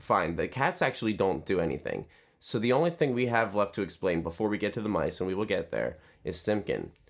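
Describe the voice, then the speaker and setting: In a plain, everyday voice, a man talks at a fairly quick pace. His pitch is fairly low, and his intonation is lively. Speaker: podcast co-host. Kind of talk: casual banter, comedic podcast discussion of a children's book.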